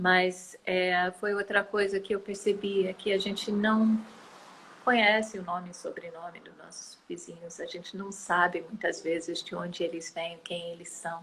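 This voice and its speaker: A woman at a fairly slow pace, in a monotone, flat intonation. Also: medium pitch for a woman, big swings in loudness. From United States. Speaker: environmental activist. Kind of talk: interview. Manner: hesitant, many fillers.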